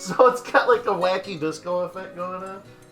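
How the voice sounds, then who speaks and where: Background music plays while a woman talks at a moderate pace. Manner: loud.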